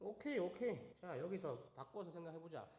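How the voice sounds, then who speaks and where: Over audible room echo, a man talks very fast at a high pitch with lively intonation. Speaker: math teacher. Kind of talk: online lecture.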